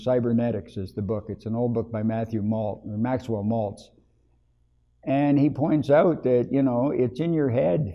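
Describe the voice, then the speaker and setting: A man with a Canadian accent speaks in a normal speaking voice. He keeps a moderate pace with ordinary pitch variation. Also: medium pitch for a man. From Ontario, Canada. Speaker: interviewee in community project. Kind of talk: interview answers.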